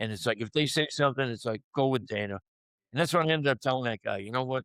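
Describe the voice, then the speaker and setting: Talking at a very fast pace with a Boston accent, a man comes through in a dry, close sound with no echo. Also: medium pitch for a man, ordinary pitch variation. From Boston area, US. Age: 60s. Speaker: sports media personality and cancer survivor. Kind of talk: podcast interview. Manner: casual, conversational.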